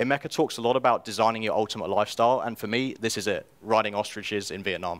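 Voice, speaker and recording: A man with a British accent speaks at a very fast pace, with hardly any pauses. His medium pitch holds fairly even intonation in a very clean recording with a silent background. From England, London. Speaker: self-publisher and copywriter. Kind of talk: conference talk. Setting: stage with audience.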